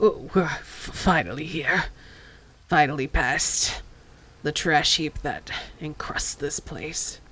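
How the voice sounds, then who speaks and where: Long, frequent pauses break up a put-on character voice at a middle pitch. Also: fairly slow pace. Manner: tired, weak, a bit steadier.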